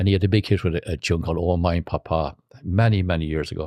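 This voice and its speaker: In a western Irish accent, a man speaks with a very deep, low pitch, a dark, mellow tone and fairly even intonation. The recording is very clean and silent behind him, with a dry, close sound and no echo. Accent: Irish (west of Ireland). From Ireland, County Roscommon. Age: 80s+. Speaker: trumpet player, showband musician. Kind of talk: casual interview chat. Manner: halting, with repeated false starts.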